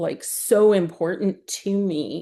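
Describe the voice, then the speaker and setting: Speech comes at a very slow pace in a Texan accent. The intonation stays fairly even over a quiet background. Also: woman. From Texas, Houston. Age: 60s. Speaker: accessibility professional. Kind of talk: casual chat.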